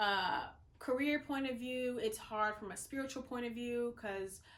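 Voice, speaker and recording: A woman with an American accent speaks at a moderate pace in a high pitch, with audible room echo. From the Carolinas, US South. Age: 20s. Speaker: vlogger and model. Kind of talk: casual vlog talk to camera. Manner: filler-heavy, conversational.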